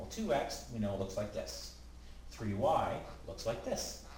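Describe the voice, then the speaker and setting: A man talks fairly slowly in a room with audible echo, and noticeable background noise comes through as well. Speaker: math teacher. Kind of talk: tutorial. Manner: casual, with frequent fillers.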